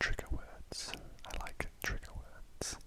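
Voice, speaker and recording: A very slow whisper over noticeable background noise. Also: man. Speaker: ASMR creator. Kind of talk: ASMR whispered ramble. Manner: whispered; soft-spoken.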